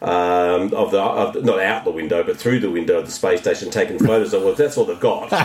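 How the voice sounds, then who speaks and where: A man races along at a very fast pace with hardly any pauses, over noticeable background noise. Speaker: podcast co-host. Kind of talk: casual chat. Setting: video call from home. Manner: loud talker.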